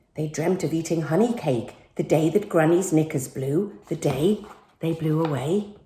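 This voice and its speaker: With a playful tone, a woman speaks at a fairly slow pace. Her voice is somewhat breathy, with a dark, mellow tone. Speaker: actress and TV personality. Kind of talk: children's picture book reading. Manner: playful, storytelling.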